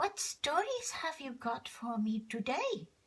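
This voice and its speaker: Using a put-on character voice, a woman speaks high in pitch at a fairly slow pace. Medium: read story.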